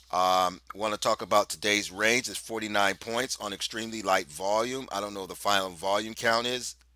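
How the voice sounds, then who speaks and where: The tone is bright and sharp, with fairly even intonation at a fairly quick pace. The recording is very clean, with a silent background. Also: man. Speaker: market analyst and trading trainer. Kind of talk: market analysis tutorial. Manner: fast.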